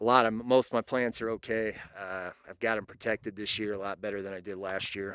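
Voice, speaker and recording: Speaking at a fairly low pitch with big swings in loudness and hardly any pauses, a man is heard in a dry, close sound with no echo. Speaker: homesteader. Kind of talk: casual talk to camera.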